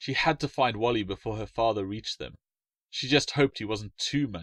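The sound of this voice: The tone is fairly bright, the pace moderate, and the sound dry and close with no echo. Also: man, fairly low pitch for a man, ordinary pitch variation.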